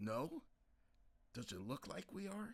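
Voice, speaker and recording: Putting on a raspy character voice, a man speaks at a fairly high pitch with very wide pitch swings. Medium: read story. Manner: terse, dry.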